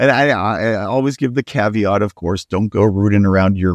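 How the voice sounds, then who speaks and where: A man with an ordinary speaking voice, an American accent, and ordinary pitch variation. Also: dry, close sound with no echo. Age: 40s. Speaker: historian and author. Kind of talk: interview.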